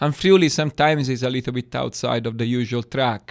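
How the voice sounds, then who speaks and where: A man with an Italian accent and fairly even intonation, in a very clean recording with a silent background. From Italy, Florence. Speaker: wine export manager. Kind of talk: interview.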